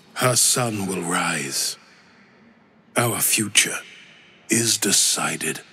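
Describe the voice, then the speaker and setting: Using a put-on character voice, a man speaks fairly low at a very slow pace with long, frequent pauses. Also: ordinary pitch variation. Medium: video game. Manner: solemn, declamatory.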